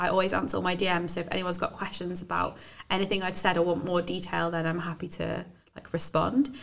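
Through noticeable background noise, a woman with a fairly low pitch talks at a very fast pace. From English Midlands. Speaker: business owner and university graduate. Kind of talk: casual interview chat.

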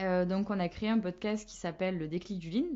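Using a plain, everyday voice, a woman speaks at medium pitch and a fairly quick pace with fairly even intonation. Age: 20s. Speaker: marketing manager. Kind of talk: casual chat.

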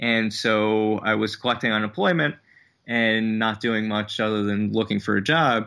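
At a moderate pace, a man with an American accent talks in a fairly low, monotone, flat voice. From New Jersey. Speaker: comedian and podcast host. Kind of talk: interview.

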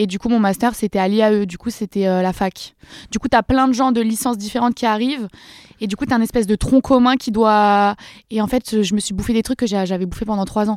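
A woman's plain, everyday voice, fairly high in pitch and fairly quick, with fairly even intonation and a dry, close sound with no echo on a very clean recording with a silent background. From France, countryside near Dreux (Eure-et-Loir). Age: 20s. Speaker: social media creator. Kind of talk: casual chat. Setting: studio.

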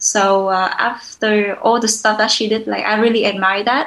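Her voice fairly high and her intonation fairly even, a woman speaks with a Vietnamese accent. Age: 20s. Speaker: social entrepreneur. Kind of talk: interview conversation. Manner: halting, many fillers.

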